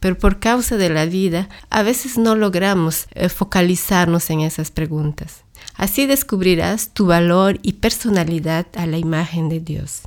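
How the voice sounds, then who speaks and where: A woman talks at a fairly slow pace in a plain, everyday voice. Her pitch is fairly low, with ordinary variation. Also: very clean recording, silent background. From Latin America. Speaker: podcast host and church ministry worker. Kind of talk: scripted monologue.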